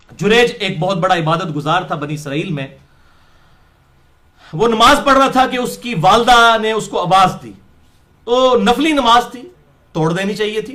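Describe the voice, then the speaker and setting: A raised, projected voice with lively intonation and big swings in loudness. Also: man, high pitch for a man. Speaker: Islamic preacher giving a lecture. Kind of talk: Islamic sermon / religious lecture in Urdu-Punjabi mix. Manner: lecturing, conversational, storytelling with asides.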